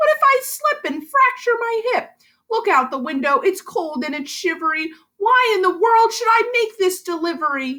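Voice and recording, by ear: In a put-on character voice, a woman talks at a moderate pace with extremely high pitch, big pitch swings and a bright, sharp tone.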